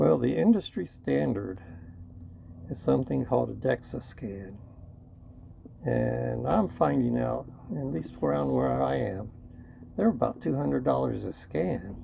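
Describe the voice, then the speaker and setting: Lively intonation at a fairly slow pace, with long, frequent pauses and noticeable background noise. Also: man, very deep, low pitch for a man. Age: 60s. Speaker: YouTuber. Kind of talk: vlog monologue. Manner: casual, conversational with fillers.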